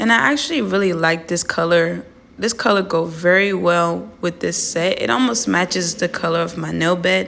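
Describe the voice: A woman talks at a moderate pace and fairly low pitch with few pauses, her fairly even intonation and fairly bright tone carrying a raspy quality and vocal fry.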